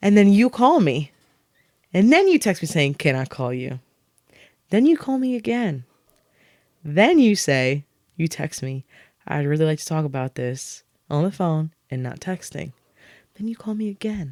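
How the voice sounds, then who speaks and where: A woman speaks in an animated tone, her pitch swinging very widely. She leaves long, frequent pauses, and the sound is dry and close with no echo. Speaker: podcast host. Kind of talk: casual chat. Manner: fast.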